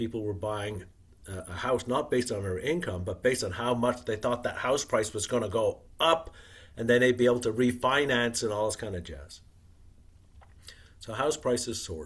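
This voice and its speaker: A man's somewhat breathy, medium-pitched voice at a moderate pace with ordinary pitch variation. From Wales. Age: 60s. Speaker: retired investor and author. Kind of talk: podcast interview.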